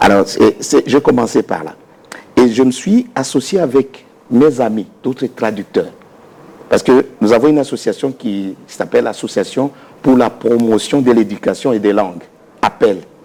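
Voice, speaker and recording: In a Congolese accent, a man speaks at a medium pitch. He leaves long, frequent pauses. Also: ordinary pitch variation. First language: Lingala (speaking French). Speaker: dictionary author and researcher. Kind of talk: interview. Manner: halting.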